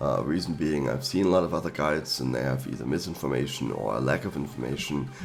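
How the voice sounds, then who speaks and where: With a German accent, a man speaks very fast in a very deep, low voice, his pitch varying in an ordinary way amid noticeable background noise. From Germany. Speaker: gaming YouTuber. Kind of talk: tutorial. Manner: hesitant, with fillers.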